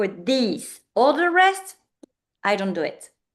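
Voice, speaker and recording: This woman talks at a fairly slow pace. She has a French accent. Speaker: business founder and coach. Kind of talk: interview. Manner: halting.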